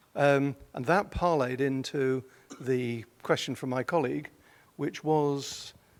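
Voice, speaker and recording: Speaking with a British accent, a man has a fairly high pitch. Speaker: journal editor, audience member asking question. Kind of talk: audience question at conference. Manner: hesitant, many ums.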